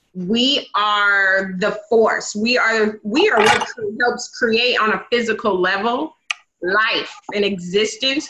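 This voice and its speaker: A woman's bright, sharp voice with an American accent, fairly high in pitch, at a very slow pace, with ordinary pitch variation and very even loudness. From US Pacific Northwest, Vancouver, Washington. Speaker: cosmetologist and energy healer. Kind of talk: casual conversation. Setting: video call.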